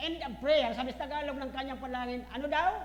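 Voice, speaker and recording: The voice is loud and moves at a moderate pace. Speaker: pastor. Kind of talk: sermon. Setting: church. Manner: forceful.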